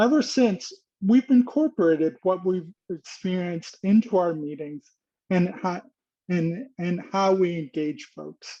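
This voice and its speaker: With a dark, mellow tone and high pitch, a man talks at a fairly slow pace using lively intonation and big swings in loudness, the sound dry and close with no echo. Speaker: nonprofit leader hosting a webinar. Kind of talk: webinar introduction. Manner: halting, effortful speech after a stroke.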